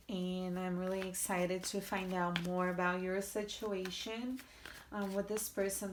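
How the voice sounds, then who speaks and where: Speech at a fairly slow pace comes through noticeable background noise and audible room echo. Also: woman. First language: Portuguese. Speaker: tarot reader. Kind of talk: tarot reading. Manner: halting.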